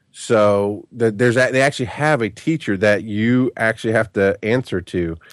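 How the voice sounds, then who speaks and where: An unremarkable speaking voice from a man, medium in pitch, at a moderate pace with very even loudness, in a dry, close sound with no echo and a quiet background. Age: 30s. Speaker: podcaster and father. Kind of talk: casual chat. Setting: remote call.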